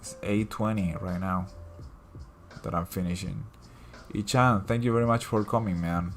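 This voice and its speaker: With music in the background, a man with a Latin American accent speaks at a fairly low pitch with fairly even intonation. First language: Spanish. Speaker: digital artist and comic creator. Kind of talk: casual livestream chat. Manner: casual, hesitant with fillers.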